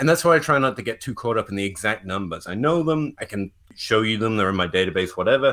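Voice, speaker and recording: Speaking very fast with lively intonation, a man with an English accent keeps his voice at a medium pitch. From England. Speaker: fantasy football analytics writer. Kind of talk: casual podcast discussion of football analytics.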